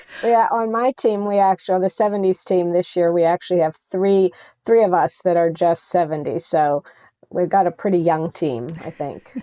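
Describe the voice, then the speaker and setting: A woman with an American accent speaks at a fairly low pitch and a moderate pace, with ordinary pitch variation. Her tone is dark and mellow, and the sound is dry and close with no echo. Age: 60s. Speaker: senior athlete and nonprofit president. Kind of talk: interview.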